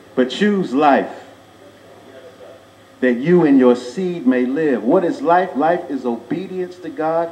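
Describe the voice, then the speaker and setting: There is noticeable background noise as a man speaks at a very slow pace with long, frequent pauses. His fairly high voice has lively intonation. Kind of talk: funeral eulogy, sermon-like address to congregation. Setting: church, live audience. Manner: preaching, emphatic.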